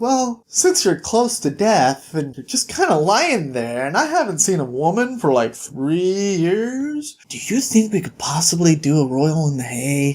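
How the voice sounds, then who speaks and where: At a middle pitch, a put-on character voice moves at a moderate pace with hardly any pauses. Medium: read story. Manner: brash, cheeky.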